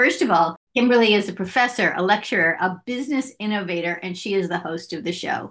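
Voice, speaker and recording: A woman speaks with an American accent at a medium pitch. Hers is a normal speaking voice. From US, Philadelphia area, Pennsylvania. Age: 50s. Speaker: podcast producer and interviewer. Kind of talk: interview, asking questions; show intro and outro.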